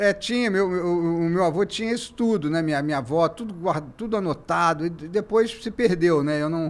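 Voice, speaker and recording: On a very clean recording with a silent background, a man with a high voice talks at a fairly quick pace with ordinary pitch variation and hardly any pauses. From Brazil, Rio de Janeiro (Santa Teresa). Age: 60s. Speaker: journalist and museum founder. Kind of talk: casual interview chat. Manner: halting, many false starts.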